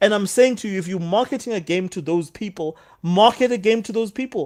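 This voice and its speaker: A man talks at a fairly quick pace with an animated tone and ordinary pitch variation on a very clean recording with a silent background. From Australia. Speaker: caller in gaming talk show. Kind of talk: heated debate.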